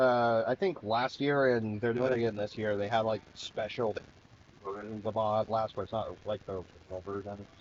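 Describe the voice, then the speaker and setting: Over noticeable background noise, this man talks at a moderate pace with an American accent. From Texas. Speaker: gaming streamer. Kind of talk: casual chat.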